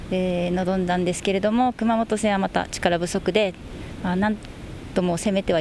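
Over noticeable background noise, a woman talks at a moderate pace. Her pitch is medium and her intonation fairly even. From Okinawa, Japan. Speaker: women's football player-coach. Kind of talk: radio interview.

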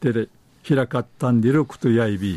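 A man at medium pitch and moderate pace, with dry, close sound and no echo. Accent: Okinawan. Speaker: dialect news presenter. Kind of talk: news reading in Okinawan dialect.

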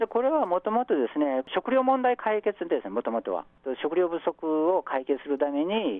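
Very wide pitch swings at a moderate pace. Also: man, high pitch for a man. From South Korea, Busan. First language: Korean (speaking Japanese). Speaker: professor. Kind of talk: radio interview.

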